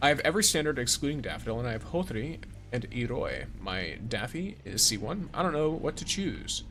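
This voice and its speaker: Over music in the background, a man speaks fairly quickly with very wide pitch swings. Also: fairly high pitch for a man. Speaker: gaming streamer. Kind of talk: live stream chat with commentary. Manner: jumps mid-sentence.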